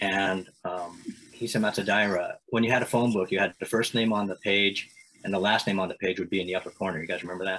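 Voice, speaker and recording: A man with an American accent talks at a very fast pace, fairly low in pitch with monotone, flat intonation. His tone is bright and sharp, with light background noise. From Eastern Washington, US. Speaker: city council member. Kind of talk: casual interview conversation. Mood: friendly, smiling. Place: home room. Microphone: video call.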